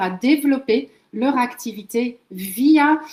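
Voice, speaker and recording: The speaker is a woman. Her voice rises and falls in an ordinary way. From Netherlands, moved to France very young. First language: Dutch (speaking French). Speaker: LinkedIn marketing trainer, entrepreneur. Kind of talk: webinar presentation. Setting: video call webinar.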